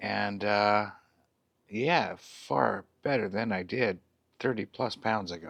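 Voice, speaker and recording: Speaking with a Canadian accent at a very slow pace, a man has a fairly low pitch, vocal fry and ordinary pitch variation over a quiet background. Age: 50s. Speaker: vlogger. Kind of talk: casual vlog update. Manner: halting, many fillers.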